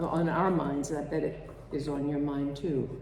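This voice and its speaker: Through noticeable background noise and audible room echo, a woman is heard speaking. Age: 80s. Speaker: congregation member giving a reflection. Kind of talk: spiritual reflection at a service.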